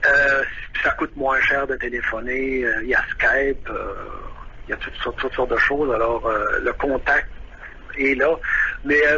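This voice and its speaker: A man with a Quebec accent speaks at a fairly slow pace, with long, frequent pauses. Noticeable background noise can be heard. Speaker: saxophonist, expat interviewee. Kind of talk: radio phone interview. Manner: halting, many hesitations.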